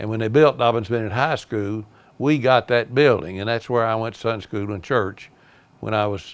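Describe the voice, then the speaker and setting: Using an Appalachian accent, a man with a fairly low pitch and ordinary pitch variation talks at a fairly quick pace. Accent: Southern US, Appalachian. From US South, East Tennessee (Kingsport). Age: 80s+. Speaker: retired car dealer, local elder. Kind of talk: oral history storytelling. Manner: hesitant, many fillers.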